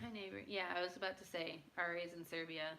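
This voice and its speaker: A woman's fairly low voice with an American accent, a bright, sharp tone, ordinary pitch variation and audible room echo. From United States. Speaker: livestreamer. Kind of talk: casual chat.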